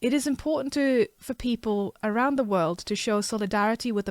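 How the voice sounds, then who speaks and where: A woman's fairly high voice at a moderate pace, with ordinary pitch variation, on a very clean recording with a silent background. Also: dry, close sound with no echo. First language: not English. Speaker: artist and comic creator. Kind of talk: casual vlog; reading aloud with commentary. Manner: halting.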